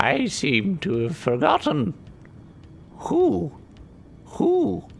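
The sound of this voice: Over clear background noise, a man talks very slowly in a put-on character voice. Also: fairly high pitch for a man.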